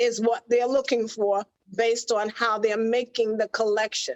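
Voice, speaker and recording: A woman has an ordinary speaking voice with a fairly high pitch and fairly even intonation, captured in a dry, close sound with no echo. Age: 60s. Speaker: fashion model. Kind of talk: interview.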